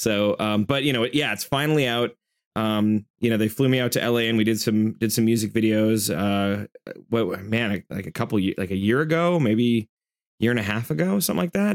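A plain, everyday voice from a man with an American accent, medium pitch, ordinary pitch variation and a fairly quick pace, in a dry, close sound with no echo. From US Midwest. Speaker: metal band frontman and festival organizer. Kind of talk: casual interview chat.

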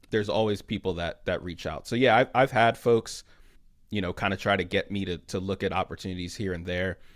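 With an American accent, a normal speaking voice moves at a fairly quick pace in fairly even intonation on a very clean recording with a silent background. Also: man, fairly low pitch for a man. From Philadelphia. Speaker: podcast co-host, social media director. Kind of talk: casual interview.

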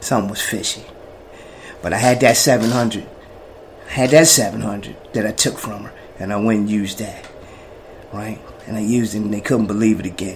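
A man with an American accent speaks at a moderate pace in a fairly low pitch, with long, frequent pauses. His loudness swings widely, and background noise is noticeable. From New Jersey, Jersey City projects. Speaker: person in addiction recovery. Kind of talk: personal testimony. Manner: animated.

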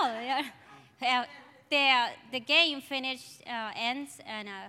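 A woman speaks in a raised, projected voice at a high pitch, with ordinary pitch variation. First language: Spanish. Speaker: church member. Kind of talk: testimony. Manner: halting.

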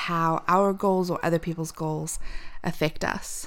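A normal speaking voice at a moderate pace, in a very clean recording with a silent background. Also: woman. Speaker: podcast co-host. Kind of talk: casual chat.

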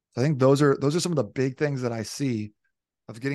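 Rushing at a very fast pace, a man talks with a medium pitch and ordinary pitch variation. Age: 30s. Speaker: fitness coach. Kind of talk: casual chat.

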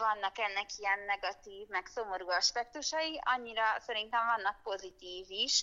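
Moderately paced, the delivery is a normal speaking voice with ordinary pitch variation. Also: woman. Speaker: fashion designer. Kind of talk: interview. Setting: phone call, outdoors on the street. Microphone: phone line.

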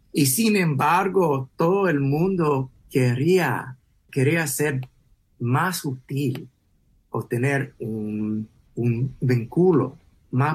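A man speaks very slowly at a medium pitch. His voice is somewhat breathy, with ordinary pitch variation. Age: 40s. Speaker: podcast host. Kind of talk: interview. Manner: halting.

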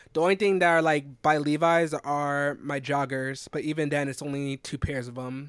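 A man with an American accent and an unremarkable speaking voice, fairly high pitch, fairly even intonation and moderate pace, on a very clean recording with a silent background. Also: hardly any pauses. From South Carolina. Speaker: podcast co-host, software developer. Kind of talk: casual chat.

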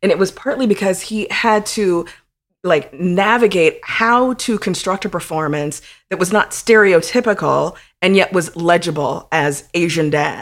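On a very clean recording with a silent background, a woman talks at a fairly slow pace, medium pitch and ordinary pitch variation. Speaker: podcast co-host. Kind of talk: casual chat. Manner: animated.

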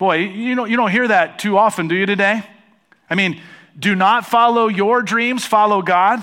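Raising and projecting his voice, a man with an American accent speaks at a moderate pace in a high pitch, his tone bright and sharp and his intonation fairly even. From United States. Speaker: pastor. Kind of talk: sermon. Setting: church stage with congregation.

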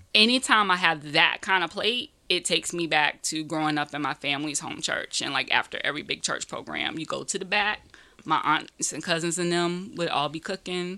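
A plain, everyday voice with ordinary pitch variation, captured in a very clean recording against a silent background. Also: woman, fairly low pitch for a woman. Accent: American. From Greenville, South Carolina. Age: 40s. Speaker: music industry veteran and cultural critic. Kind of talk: casual chat.

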